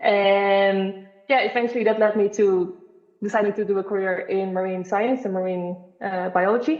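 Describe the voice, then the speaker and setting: With a Dutch accent, a woman speaks at a medium pitch and a moderate pace. Her pitch varies in an ordinary way. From Netherlands. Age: 20s. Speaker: marine biologist. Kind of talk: podcast interview.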